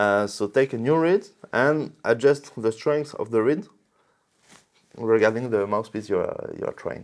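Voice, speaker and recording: The speaker has a French accent and lively intonation, moving at a fairly slow pace with long, frequent pauses. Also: man, medium pitch for a man. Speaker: reed manufacturer representative. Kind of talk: product explanation. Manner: halting, many repetitions and fillers.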